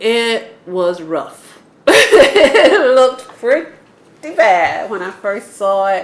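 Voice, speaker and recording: Over noticeable background noise, a woman with an American accent talks at a very slow pace in a fairly high pitch. Her voice shows very wide pitch swings and big swings in loudness. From Atlanta, Georgia (US South). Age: 60s. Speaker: urban homesteader, interviewee. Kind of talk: oral history interview.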